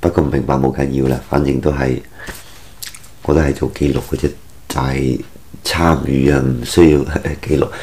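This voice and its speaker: With long, frequent pauses, a man speaks at a moderate pace in a very deep, low pitch and monotone, flat intonation, with light background noise. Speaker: vlogger. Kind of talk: casual monologue. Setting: at home. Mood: relaxed, reflective. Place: home room.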